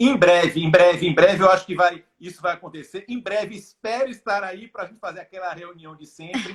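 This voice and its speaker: A Bahian accent at a fairly quick pace, with hardly any pauses. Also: man, high pitch for a man, ordinary pitch variation, big swings in loudness. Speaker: live stream host. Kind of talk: casual chat. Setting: Instagram live video call.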